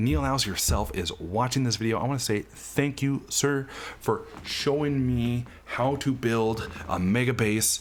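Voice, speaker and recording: Against noticeable background noise, a man speaks at a fairly slow pace and a medium pitch. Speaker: gaming YouTuber. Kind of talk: gameplay commentary. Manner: hesitant fillers.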